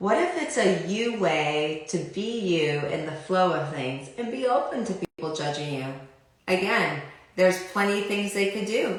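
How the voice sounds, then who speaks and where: A woman's medium-pitched voice with lively intonation at a fairly slow pace, amid noticeable background noise and audible room echo. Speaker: life coach / clearing facilitator. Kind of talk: live stream talk to viewers.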